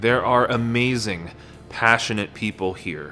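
Faint music plays in the background. A man speaks with ordinary pitch variation. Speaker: podcast host. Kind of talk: podcast trailer narration. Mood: earnest, warm. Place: home room.

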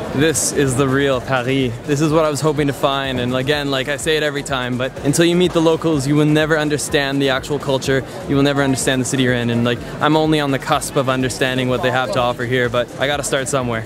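Very fast pace and monotone, flat intonation from a man, dry sound with no echo, music in the background. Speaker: travel vlogger. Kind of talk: casual vlog chat. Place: street.

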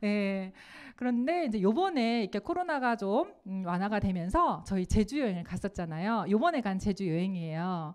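The pace is moderate as a woman talks. Her intonation is lively. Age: 50s. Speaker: network marketing director; presenter. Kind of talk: lecture. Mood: warm, smiling. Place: studio. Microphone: handheld.

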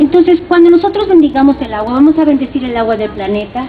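Over light background noise, a woman speaks in a high voice. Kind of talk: guided ceremony address. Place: garden. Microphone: handheld.

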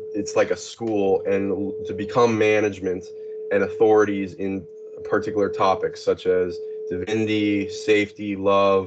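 The speaker is a man talking at a fairly slow pace. Noticeable background noise can be heard. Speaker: interview guest. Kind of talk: interview answer. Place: home room. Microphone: video call.

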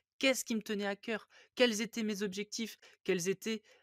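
A man's high-pitched, animated voice, dry and close with no echo, on a very clean recording with a silent background. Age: 30s. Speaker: investing podcast host. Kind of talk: solo podcast monologue. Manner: hesitant, many fillers.

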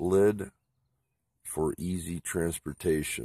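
Over a quiet background, a man talks at a very slow pace with fairly even intonation, the sound dry with no echo. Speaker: product reviewer. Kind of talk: casual unboxing review. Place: garden.

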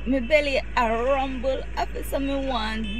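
A woman is heard in a dry sound with no echo, over noticeable background noise. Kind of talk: comedy skit rant. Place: car. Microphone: phone near.

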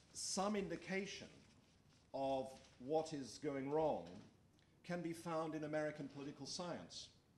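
Over light background noise, a man with an Australian accent talks fairly slowly in a fairly high voice, pausing long and often. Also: ordinary pitch variation. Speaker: political science professor. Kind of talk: lecture. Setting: stage with audience. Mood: serious, measured. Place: meeting room. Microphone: podium.

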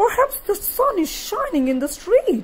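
This put-on character voice is squeaky, with an extremely high pitch that makes very wide swings. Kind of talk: bedtime story. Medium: read story.

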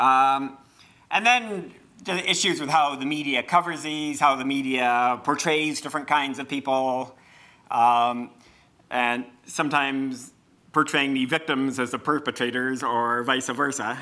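This man's fairly high voice has a bright, sharp tone, and he speaks at a fairly slow pace with fairly even intonation. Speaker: professor facilitating a panel. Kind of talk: moderated panel discussion. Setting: lecture room with audience and microphones. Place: hall.

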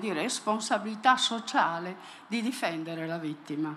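Very slowly, a woman talks over light background noise. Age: 70s. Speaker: audience member, psychoanalyst. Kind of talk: audience question. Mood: earnest, concluding. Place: stage.

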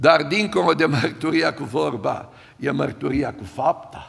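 A man speaks at a fairly high pitch with ordinary pitch variation and a fairly bright tone. His voice has a slightly husky edge and vocal fry.

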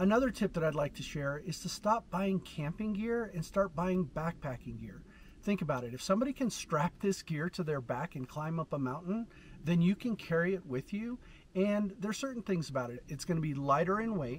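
Over light background noise, a man with a high pitch talks at a fairly quick pace with lively intonation in a dry sound with no echo. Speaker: overlanding vlogger. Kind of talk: tutorial. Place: open country.

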